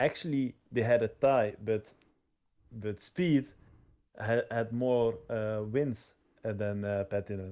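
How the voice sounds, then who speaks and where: In a very clean recording with a silent background, a man with a dark, mellow tone speaks at a medium pitch and a very slow pace, with ordinary pitch variation and long, frequent pauses. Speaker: sim racing league organiser. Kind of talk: livestream chat. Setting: livestream. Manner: halting, many fillers.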